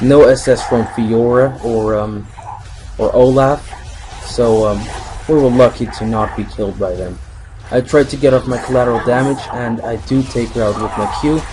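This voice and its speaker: Noticeable background noise runs beneath speech that keeps a moderate pace. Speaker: gaming commentator. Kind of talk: recorded gameplay commentary. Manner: halting.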